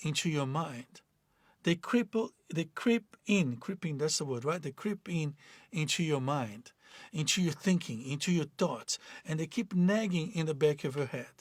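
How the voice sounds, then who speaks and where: Fairly high-pitched male speech at a fairly slow pace, lively intonation, and a very clean recording with a silent background. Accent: Portuguese. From Brazil. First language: Portuguese. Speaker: life coach. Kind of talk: motivational talk. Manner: halting.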